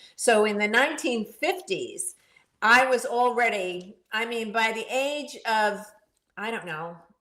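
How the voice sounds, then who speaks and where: A woman with a fairly high pitch speaks slowly-ish at a fairly slow pace in an animated, bright and sharp tone, with big swings in loudness and audible room echo. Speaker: podcast co-host. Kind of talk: casual chat.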